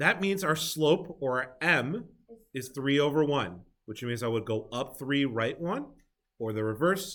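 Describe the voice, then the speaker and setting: A man's unremarkable speaking voice at medium pitch, with lively intonation and big swings in loudness. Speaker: math teacher. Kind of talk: classroom review lesson. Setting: classroom with students.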